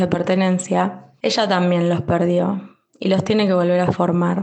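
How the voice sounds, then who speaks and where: A woman with an unremarkable speaking voice, medium pitch, and a fairly slow pace. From Bahía Blanca, Buenos Aires province, Argentina. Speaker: clinical research worker, expat mother. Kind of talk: prepared testimony recording.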